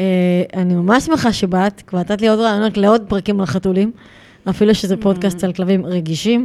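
A dark, mellow tone at a fairly quick pace, with ordinary pitch variation and very even loudness. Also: woman, medium pitch for a woman. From Israel, Gaza border area. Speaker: podcast host and dog behavior trainer. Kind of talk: casual interview chat.

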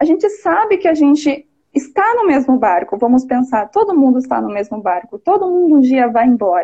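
A woman's high-pitched voice, dark and mellow in tone, with very wide pitch swings at a moderate pace. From interior of São Paulo state, Brazil. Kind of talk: casual live interview. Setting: online live video call.

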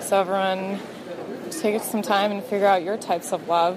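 Medium-pitched female voice over noticeable background noise. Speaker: caller, bride-to-be. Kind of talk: voicemail message.

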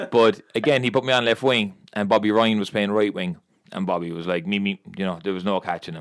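A man's fairly low voice, fairly quick in pace, with ordinary pitch variation. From Ireland, Limerick. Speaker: former footballer and youth coach. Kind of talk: casual chat. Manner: fast.

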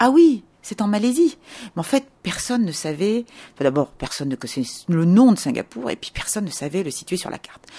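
Speaking at a fairly quick pace, a woman with a dark, mellow tone swings very widely in pitch and makes big jumps in loudness. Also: medium pitch for a woman. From France. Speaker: tour guide. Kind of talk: interview. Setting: in a house.

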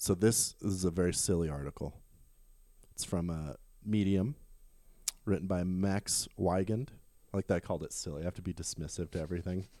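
A man with a very deep, low voice and a dark, mellow tone speaks at a fairly quick pace in an American accent, with long pauses coming often. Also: ordinary pitch variation. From US Midwest, Omaha. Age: 30s. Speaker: podcast co-host. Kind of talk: casual chat.

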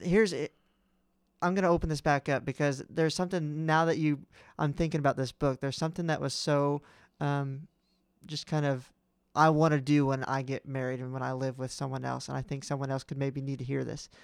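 An unremarkable speaking voice from a man, fairly high-pitched, with fairly even intonation and a fairly quick pace on a very clean recording with a silent background. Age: 20s. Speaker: podcast co-host. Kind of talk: casual chat.

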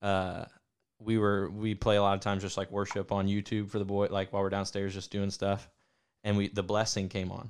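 Speaking in an American accent, a man delivers flat, monotone lines at a fairly quick pace in a fairly low voice, on a very clean recording with a silent background. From Ohio. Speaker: podcast host. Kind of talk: casual chat.

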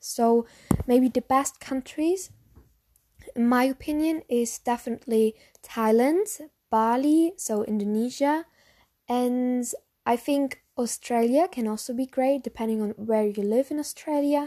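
Speaking fairly slowly with a German accent, a woman has a high-pitched voice with a dark, mellow tone. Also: ordinary pitch variation. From Germany. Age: young. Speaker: lifestyle podcaster. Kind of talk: casual monologue Q&A.

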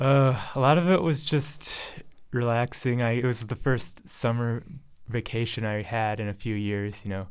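Speaking at a moderate pace in an American accent, a man keeps a medium pitch with ordinary pitch variation. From Michigan, Ann Arbor. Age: 20s. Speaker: graduate student. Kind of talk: casual chat. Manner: halting.

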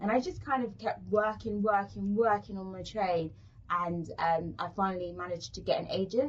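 Somewhat breathy, a woman with a London accent speaks at a moderate pace and medium pitch, with ordinary pitch variation. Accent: London British English. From South London, England. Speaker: actress. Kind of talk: casual interview.

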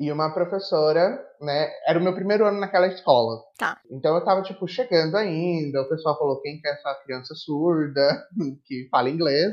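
A man with an unremarkable speaking voice, fairly high-pitched, moderate in pace, and with ordinary pitch variation. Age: 20s. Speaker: English teacher and language school coordinator. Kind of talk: casual interview.

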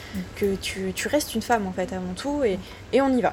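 A woman speaks at a fairly quick pace with ordinary pitch variation. Noticeable background noise runs underneath. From France, Ardèche. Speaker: underwater photographer. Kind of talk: interview. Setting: outdoors.

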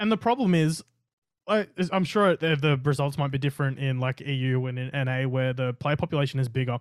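This man has a fairly high pitch and an Australian accent. He talks at a fairly quick pace with ordinary pitch variation. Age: 20s. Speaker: gaming streamer. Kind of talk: casual chat. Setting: room with LED lights.

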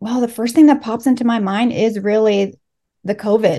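A woman's fairly high voice with a dark, mellow tone and ordinary pitch variation. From Los Angeles, US, Mexican immigrant family. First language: Spanish. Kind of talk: interview. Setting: remote call.

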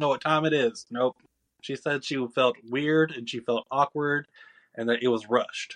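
A man with an American accent, fairly high-pitched, at a moderate pace with ordinary pitch variation, in a dry, close sound with no echo. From Georgia, US South. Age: 20s. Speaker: podcast guest. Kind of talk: casual chat.

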